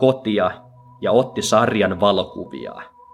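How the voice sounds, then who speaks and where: A man talks at a very slow pace as music plays in the background. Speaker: podcaster reading a translated speech. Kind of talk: dramatic speech reading, solemn translated monologue. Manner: slow, measured and reverent, with emphatic pauses; earnest and moving, building rhythmically through repeated 'jokainen'.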